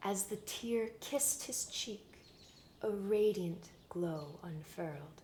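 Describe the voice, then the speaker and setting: A woman speaks at a very slow pace in a gentle, somewhat breathy tone with lively intonation. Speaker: roleplay ASMR creator playing a potion maker. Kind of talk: fairy-tale story reading in rhyming verse. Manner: slow, gentle storytelling.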